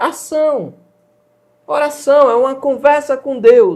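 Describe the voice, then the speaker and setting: A man talks at an extremely high pitch with ordinary pitch variation. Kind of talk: religious talk show.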